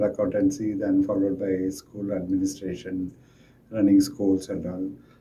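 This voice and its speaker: A man at a moderate pace with ordinary pitch variation and noticeable background noise. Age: 60s. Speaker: school administrator. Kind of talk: interview answer. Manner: halting.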